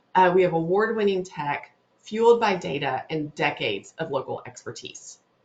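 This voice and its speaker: Lively intonation with an American accent. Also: woman, medium pitch for a woman. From North Louisiana. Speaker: webinar host, digital marketing specialist. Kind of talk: webinar presentation. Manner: fast.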